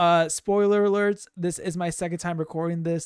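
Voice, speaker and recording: A man's voice comes through dry and close with no echo, on a very clean recording with a silent background. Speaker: YouTube commentary creator. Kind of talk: video commentary. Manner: casual, halting with fillers.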